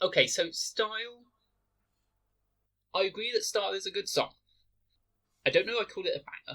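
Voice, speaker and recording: Fairly quick yet broken by long, frequent pauses, a man speaks with a British accent. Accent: very British, Queen's English. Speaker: podcast co-host. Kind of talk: casual chat. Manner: proper, posh pronunciation.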